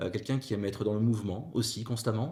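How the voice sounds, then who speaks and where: A man is speaking. His pitch falls in the medium range. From northern France (Avesnois, near Fourmies). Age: 40s. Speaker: former teacher, civil service HR executive. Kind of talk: podcast interview. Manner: hesitant, many fillers.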